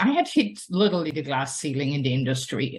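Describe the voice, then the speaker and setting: A woman with a German accent, lively intonation and a moderate pace. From Germany. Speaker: nonprofit founder and scientist. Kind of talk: personal talk to an audience. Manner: hesitant, with many fillers.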